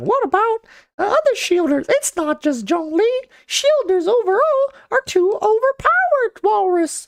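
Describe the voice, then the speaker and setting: A squeaky, extremely high-pitched put-on character voice with a playful tone. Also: moderate pace. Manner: playful, mocking.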